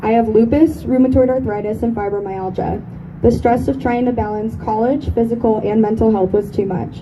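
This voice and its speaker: The voice is shaky and fairly quick, with ordinary pitch variation. Noticeable background noise and audible room echo surround it. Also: woman. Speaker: eating disorder survivor speaker. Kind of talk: speech.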